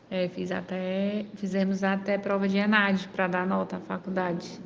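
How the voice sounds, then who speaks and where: A woman with a Ceará accent speaks at a fairly slow pace and medium pitch. Her intonation is monotone and flat. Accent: Brazilian Northeastern (Cearense) Portuguese. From Brazil, Ceará (interior, São Benedito). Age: 30s. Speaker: city councillor and nurse. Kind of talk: interview. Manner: frequent fillers and hesitations.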